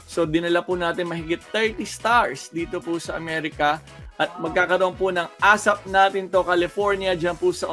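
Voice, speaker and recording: With music in the background, a man with a high pitch talks at a moderate pace and fairly even intonation. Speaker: TV host. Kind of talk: casual video call interview host.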